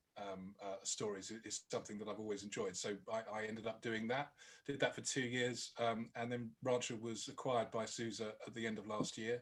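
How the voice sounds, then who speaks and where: A man with a British accent talks at a fairly quick pace. His medium-pitched voice stays monotone and flat. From Britain. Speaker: product marketing director. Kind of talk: webinar talk. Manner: halting, many fillers.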